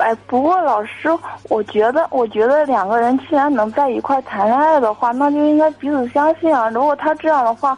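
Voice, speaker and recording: Noticeable background noise accompanies a woman with a high pitch, ordinary pitch variation and very even loudness. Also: moderate pace. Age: 20s. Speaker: caller, young saleswoman. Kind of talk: call-in advice chat. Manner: hesitant, many fillers.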